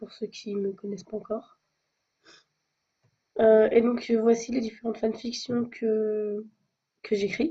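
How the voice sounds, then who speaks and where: Somewhat breathy, a woman talks in a fairly high pitch with a dark, mellow tone and monotone, flat intonation. Her loudness swings widely, and she goes at a very slow pace with long, frequent pauses. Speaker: amateur fanfiction writer. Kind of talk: casual talk to camera.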